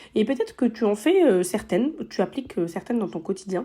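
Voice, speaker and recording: A woman speaks in a dark, mellow tone with lively intonation. The recording is very clean, with a silent background. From southern France. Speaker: podcast host. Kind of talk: casual podcast monologue. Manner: hesitant, many fillers.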